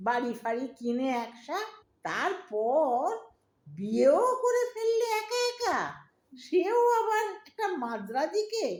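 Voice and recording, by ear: Putting on a character voice, a woman speaks slowly at a high pitch with big pitch swings and a slightly mellow tone.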